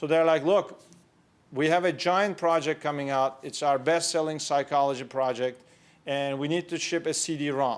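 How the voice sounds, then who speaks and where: On a very clean recording with a silent background, a man speaks with a Turkish accent at a fairly high pitch. His intonation is fairly even and his pace moderate. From Turkey (Istanbul). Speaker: entrepreneur. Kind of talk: conference talk.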